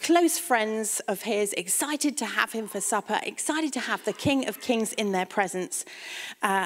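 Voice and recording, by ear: Someone is reading aloud in a natural voice, the intonation lively throughout.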